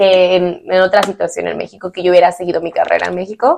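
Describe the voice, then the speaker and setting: Using a normal speaking voice, a woman talks fairly quickly at a medium pitch. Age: 20s. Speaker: podcast host. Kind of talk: casual interview.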